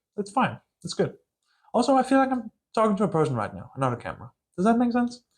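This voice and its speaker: Delivered at a very fast pace in a strong Danish accent, the speech has lively intonation, long, frequent pauses and big swings in loudness. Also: man, high pitch for a man. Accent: Danish accent, thick by his own account. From Denmark. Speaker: book channel vlogger. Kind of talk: casual vlog monologue. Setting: filming alone to camera. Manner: casual, hesitant with fillers.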